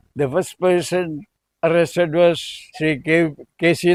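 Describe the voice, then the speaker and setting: A man is speaking. He has a Keralan accent. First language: Malayalam. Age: 80s+. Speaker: freedom fighter, social worker. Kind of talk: podcast interview answer.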